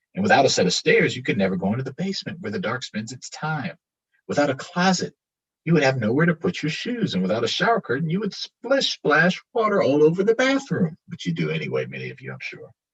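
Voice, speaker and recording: A man does a put-on character voice, fairly high in pitch and creaky. He talks at a very fast pace. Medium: read story. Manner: soft, mysterious.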